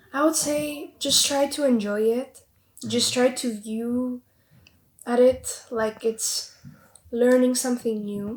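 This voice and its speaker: A woman speaks at a high pitch with fairly even intonation. Her pace is very slow, broken by long, frequent pauses. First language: Greek. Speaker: medical student, student union member. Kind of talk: casual chat.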